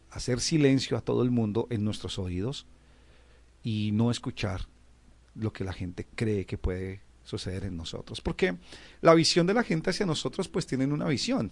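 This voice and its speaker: A man talks at a moderate pace and a medium pitch, with very wide pitch swings. The background is quiet. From Colombia, Bogotá. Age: 30s. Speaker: musician and band director. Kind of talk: interview testimony. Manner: repetitive stammering on words.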